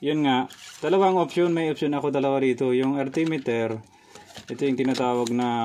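A man's voice with ordinary pitch variation over light background noise. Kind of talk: casual vlog chat. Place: office. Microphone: phone near.

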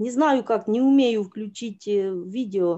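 Against a quiet background, a woman speaks at a very slow pace with ordinary pitch variation. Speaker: church member. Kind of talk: testimony. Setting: video call from phone. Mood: grateful, emotional testimony. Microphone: video call.

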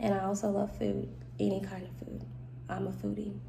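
There is light background noise as a woman speaks with an American accent. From US South, Mississippi. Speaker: nursing student. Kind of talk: self-introduction video. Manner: casual, giggly. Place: home room. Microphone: phone near.

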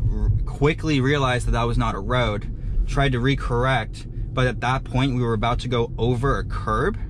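A man speaks at a moderate pace in a dry recording with no echo and noticeable background noise. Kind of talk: commentary. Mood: explanatory, slightly apologetic. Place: car.

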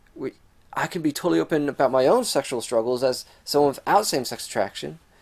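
A man with lively intonation. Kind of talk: casual vlog chat. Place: home room. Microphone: webcam.

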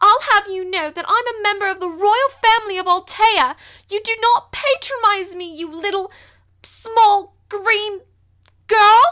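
A put-on character voice, female-sounding, at an extremely high pitch and a fairly slow pace, in a British accent. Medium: dub. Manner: angry, slurred.

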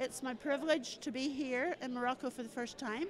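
A woman with a Northern Irish accent speaks at a high pitch with ordinary pitch variation. The sound is dry with no echo, over light background noise. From Northern Ireland. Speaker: storyteller. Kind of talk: interview answer. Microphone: handheld.

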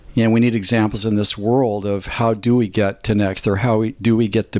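Using a plain, everyday voice, a man speaks with a fairly low pitch and fairly even intonation. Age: 60s. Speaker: performance coach and chiropractor. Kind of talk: podcast interview.

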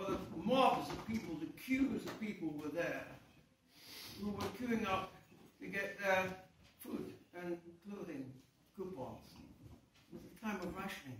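Speaking at a fairly slow pace with long, frequent pauses, a man swings widely in loudness while light background noise and audible room echo fill the recording. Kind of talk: speech to audience, personal reminiscence. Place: hall. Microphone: camera far.

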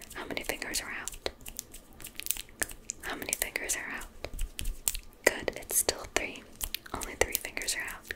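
A soft-spoken woman at a moderate pace against loud background noise. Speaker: ASMR creator. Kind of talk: soft ASMR instruction. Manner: soft, hushed ASMR voice. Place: home room.

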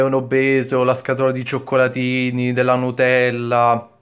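Over a quiet background, a man speaks at a fairly slow pace and a medium pitch in a monotone, flat intonation. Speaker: youtuber; vlogger. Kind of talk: opinion vlog. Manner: halting, stammering; hesitant, many fillers. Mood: indignant, earnest. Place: home room. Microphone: webcam.

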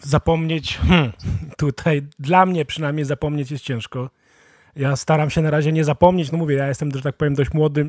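A man with a fairly high pitch speaks in an ordinary speaking voice at a moderate pace. The sound is dry and close with no echo, and his intonation is fairly even. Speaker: podcast host. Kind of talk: casual interview. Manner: casual, colloquial.

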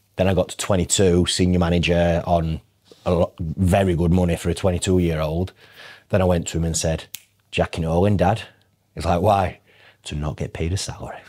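In a Yorkshire accent, a man with a very deep, low pitch and a dark, mellow tone speaks at a moderate pace with long, frequent pauses against a quiet background. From northern England. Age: 30s. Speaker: financial advisor. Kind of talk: casual chat. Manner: animated. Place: meeting room. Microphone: lapel.

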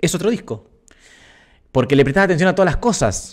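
Speaking at a fairly quick pace in a Rioplatense accent, a man with a high pitch uses lively intonation over a quiet background. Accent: Argentine Rioplatense Spanish. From Argentina. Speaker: musician and streamer hosting a live stream; streamer hosting a live stream. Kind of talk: casual live stream chat with viewers. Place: home room. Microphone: studio mic.

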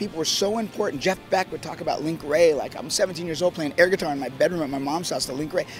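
Noticeable background noise sits behind a man talking at a very fast pace, with ordinary pitch variation and a dry sound with no echo. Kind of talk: interview answer. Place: street. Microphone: handheld.

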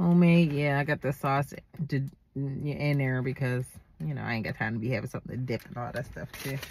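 A woman is talking over light background noise. The sound is dry, with no echo. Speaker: food vlogger. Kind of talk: casual vlog chat. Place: car.

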